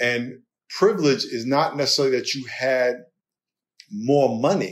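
A man with a New York accent speaks at a fairly high pitch on a very clean recording with a silent background. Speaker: pastor and author, former football player. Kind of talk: interview conversation.

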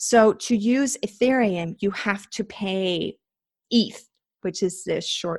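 Against a quiet background, a woman with a Danish accent speaks at a fairly slow pace with vocal fry, the sound dry and close with no echo. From Denmark. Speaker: cryptocurrency investor and entrepreneur. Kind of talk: interview, explaining.

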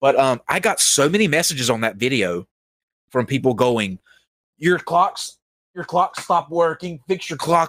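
Someone speaks in a plain, everyday voice at a moderate pace with ordinary pitch variation, the sound dry and close with no echo. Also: man. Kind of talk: casual chat.

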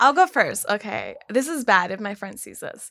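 A woman speaks at a moderate pace with an American accent, her intonation lively. Her tone is bright and sharp, and the recording is very clean with a silent background. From South Los Angeles. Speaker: dating show contestant. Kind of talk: casual chat.

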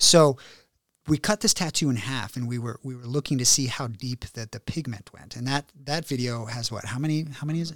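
Recorded very cleanly against a silent background, with a dry, close sound and no echo, a man with an American accent speaks in an ordinary speaking voice at a medium pitch and a fairly quick pace, showing ordinary pitch variation and big swings in loudness. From Virginia, US. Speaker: plastic surgeon. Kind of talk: casual chat.

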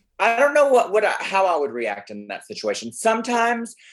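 Someone speaks in a Southern US accent against a quiet background. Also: man. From Alabama. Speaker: drag queen guest co-host. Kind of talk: casual chat.

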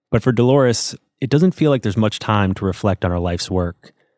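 A normal speaking voice moves at a fairly quick pace. The recording is very clean with a silent background and a dry, close sound with no echo. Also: man. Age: 40s. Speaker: podcast host. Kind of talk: interview; scripted narration. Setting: studio.

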